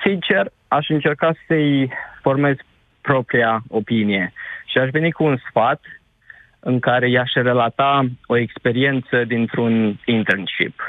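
A man's medium-pitched voice at a very slow pace, with very even loudness and ordinary pitch variation. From Romania, Suceava county. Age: 20s. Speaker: caller, engineer working abroad. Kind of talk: radio phone-in.

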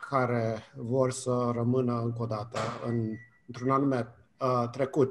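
A man speaking at a medium pitch keeps to a very slow pace. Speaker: communication professor. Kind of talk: radio interview. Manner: hesitant, many fillers.

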